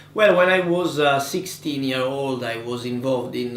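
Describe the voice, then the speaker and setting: A man speaks with an Italian accent and ordinary pitch variation, with noticeable background noise and audible room echo. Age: 20s. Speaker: politician. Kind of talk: interview. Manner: halting.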